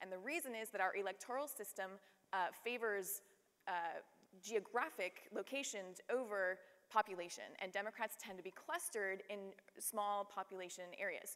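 With ordinary pitch variation and a moderate pace, a woman talks against a quiet background. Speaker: panelist. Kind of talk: panel discussion answer. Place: stage. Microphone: lapel.

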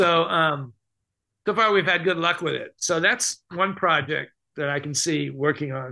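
Against a quiet background, a man with a high pitch and a bright, sharp tone talks at a fairly slow pace with ordinary pitch variation. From California, US West. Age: 70s. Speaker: mime performer and teacher; teacher. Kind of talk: casual interview. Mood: relaxed, reflective. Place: home room. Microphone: video call.

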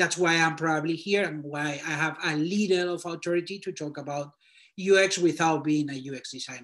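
A man with a Spanish accent talks at a moderate pace, his pitch fairly high and his intonation fairly even. His loudness swings widely against a quiet background. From Spain. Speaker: designer reviewing portfolios. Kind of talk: portfolio critique and career advice. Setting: video call. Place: home room. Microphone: video call.

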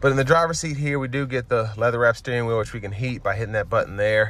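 A man talks at a very fast pace, and the sound is dry with no echo. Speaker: car reviewer. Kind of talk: product review walkthrough. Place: car. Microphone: phone near.

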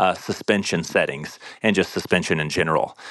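An unremarkable speaking voice moves at a fairly quick pace with ordinary pitch variation. The sound is dry and close with no echo, over a quiet background. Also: man. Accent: American. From US Midwest. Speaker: listener asking a question. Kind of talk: recorded listener question.

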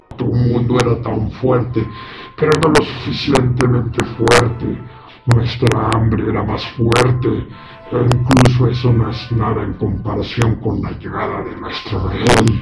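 A man speaks in a put-on character voice with a menacing tone, fairly slowly and in a flat monotone. Loud background noise fills the recording, which has a slight echo. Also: medium pitch for a man. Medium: audio drama. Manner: menacing, taunting.

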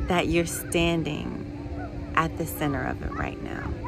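Noticeable background noise runs through the clip. A woman is the one talking. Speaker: meditation guide. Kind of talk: guided meditation. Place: waterside. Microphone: phone near.

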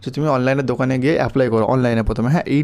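Dark, mellow male voice, fairly high for a man, with fairly even intonation. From West Bengal, Malda. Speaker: YouTuber giving exam advice. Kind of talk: tutorial. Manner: informal, addresses viewers directly.

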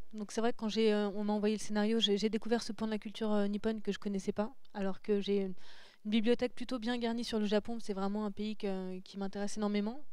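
A woman talks very fast at a fairly high pitch in a flat monotone, with a dry sound, no echo and a quiet background. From southern France, Saint-Raphaël; southern France. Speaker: comic book illustrator; interview guest. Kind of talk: interview conversation. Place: hall. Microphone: handheld.

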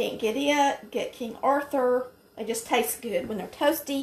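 Delivered at a fairly slow pace with ordinary pitch variation, the speech comes in a Southern US accent. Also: woman. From Polk County, Georgia. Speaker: home cook. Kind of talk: cooking tutorial talk to camera. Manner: folksy, chatty. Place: kitchen.

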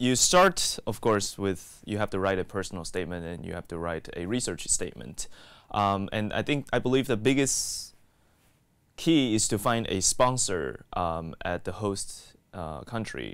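With an American accent, a man uses lively intonation at a fairly low pitch and a moderate pace. The sound is dry with no echo, and the background is quiet. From Taiwan and Texas. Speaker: graduate student researcher. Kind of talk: interview testimony. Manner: hesitant with fillers. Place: studio. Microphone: lapel.

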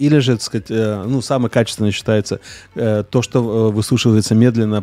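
A man's dark, mellow voice at a medium pitch, fairly even in intonation, at a moderate pace, in a dry, close sound with no echo. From Siberia, Russia. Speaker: chef. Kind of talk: casual chat. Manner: halting.

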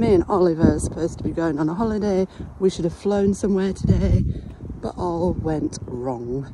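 Noticeable background noise sits under speech at a moderate pace, with a dry sound and no echo. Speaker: travel vlogger. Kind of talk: casual vlog chat. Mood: relaxed, chatty. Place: waterside. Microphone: phone near.

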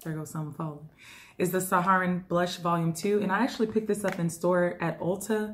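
A somewhat breathy voice at a fairly quick pace. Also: woman. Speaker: beauty YouTuber. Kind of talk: casual haul video. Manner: animated.

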